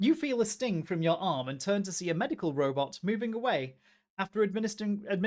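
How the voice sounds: The reading voice sounds natural. Its intonation moves in a lively way.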